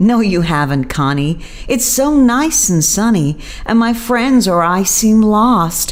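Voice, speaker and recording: Over noticeable background noise, a female-sounding put-on character voice with a fairly high pitch moves at a fairly slow pace. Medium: read story.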